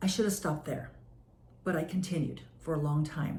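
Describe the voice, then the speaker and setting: A woman's dark, mellow tone comes through somewhat breathy. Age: 60s. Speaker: wellness business owner. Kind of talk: casual talk to camera.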